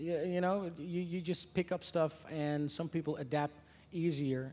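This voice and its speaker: A man with an American accent, fairly high-pitched for a man, at a fairly slow pace. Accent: American-sounding English. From Netherlands. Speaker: country singer. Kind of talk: press conference Q&A. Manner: hesitant, many fillers.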